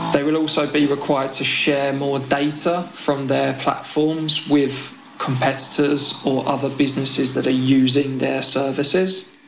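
Over noticeable background noise and audible room echo, a man with a British accent speaks in a flat monotone at a moderate pace, his pitch fairly high. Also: hardly any pauses. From UK. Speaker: tech policy consultant. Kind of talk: interview.

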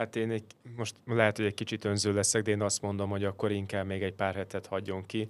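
A man rattles along at a very fast pace. His fairly low voice stays monotone and flat. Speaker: football podcast co-host. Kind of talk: casual chat.

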